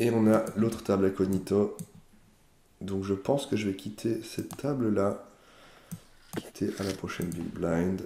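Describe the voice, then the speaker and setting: A man's dark, mellow voice, fairly low in pitch, at a fairly slow pace. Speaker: poker player. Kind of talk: live commentary. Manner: halting.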